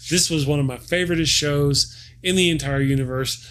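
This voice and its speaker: With a Texan accent, a man speaks at a moderate pace in an animated tone, his fairly high pitch showing ordinary variation. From Texas. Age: 40s. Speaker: sci-fi reviewer. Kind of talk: live stream casual chat. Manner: halting.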